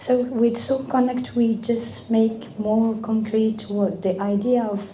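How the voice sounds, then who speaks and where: The delivery is very slow and flat, in a monotone. Room echo is audible, and background noise is noticeable. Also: woman. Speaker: event speaker. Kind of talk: speech. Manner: halting.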